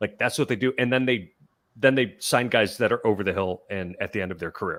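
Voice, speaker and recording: A man with an American accent at a moderate pace, with ordinary pitch variation, on a very clean recording with a silent background. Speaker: sports podcaster. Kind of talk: podcast discussion.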